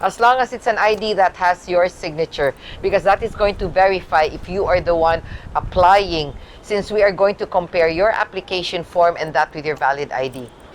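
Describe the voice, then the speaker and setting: Noticeable background noise runs under a woman speaking fairly quickly at a medium pitch. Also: ordinary pitch variation. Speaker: health insurance representative. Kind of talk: interview.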